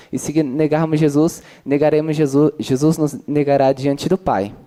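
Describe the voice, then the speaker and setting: At a moderate pace, a man talks in a fairly high pitch with a dark, mellow tone. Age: 20s. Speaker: audience member asking a question. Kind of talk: audience question at a talk. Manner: halting, many fillers.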